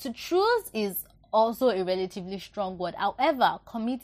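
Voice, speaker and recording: A woman with a fairly high pitch at a moderate pace. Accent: Nigerian. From Nigeria (Yoruba). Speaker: book reviewer, podcast host. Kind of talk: book review monologue. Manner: repetitive, emphatic.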